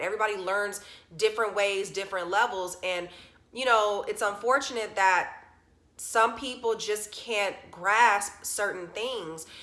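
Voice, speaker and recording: Her voice is bright and sharp, a woman at a fairly high pitch and moderate pace, with ordinary pitch variation. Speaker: vlogger. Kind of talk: personal vlog. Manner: stuttering; casual, filler-heavy.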